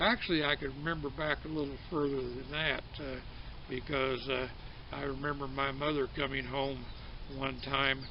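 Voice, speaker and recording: Through audible room echo, a man with a fairly high pitch speaks at a moderate pace with fairly even intonation. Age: old. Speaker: storyteller. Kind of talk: casual storytelling. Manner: halting, many fillers.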